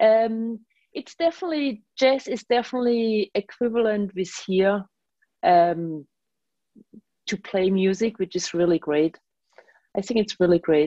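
With a German accent, a woman speaks at medium pitch in a dark, mellow tone with lively intonation. Her pace is fairly slow with long, frequent pauses, and the sound is dry and close with no echo. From Germany. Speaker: bass player and composer. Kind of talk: radio interview conversation.

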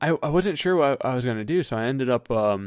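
An American man with an unremarkable speaking voice talks at a fairly quick pace and medium pitch, with ordinary pitch variation, in a dry, close sound with no echo on a very clean recording with a silent background. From California. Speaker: downhill racer and YouTuber. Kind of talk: casual interview.

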